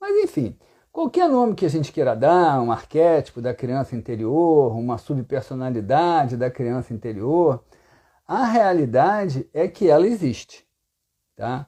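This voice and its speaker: Speaking at a fairly slow pace, a man has a fairly high pitch and a dark, mellow tone. His intonation is lively, and the background is quiet. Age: 60s. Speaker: psychotherapist. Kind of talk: live talk answering questions. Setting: Instagram live stream. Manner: halting, repeats words.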